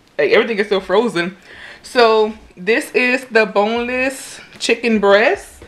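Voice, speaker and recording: In a Louisiana accent, a woman speaks at a fairly slow pace with ordinary pitch variation. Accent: Louisiana Southern US. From US South, Louisiana. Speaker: YouTuber. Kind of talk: casual cooking vlog. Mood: upbeat, pleased. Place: kitchen. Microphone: phone near.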